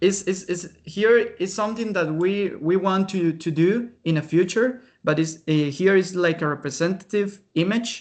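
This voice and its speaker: A man with a Spanish accent, high in pitch with ordinary pitch variation, at a moderate pace with hardly any pauses. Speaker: researcher presenter. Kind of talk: webinar Q&A. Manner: halting.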